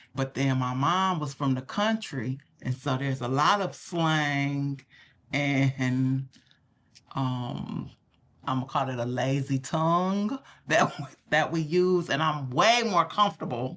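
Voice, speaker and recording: A woman with an American accent speaks at a very slow pace in a very deep, low voice with ordinary pitch variation. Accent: Southern dialect, stronger when relaxed. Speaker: podcast co-host. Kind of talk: casual chat.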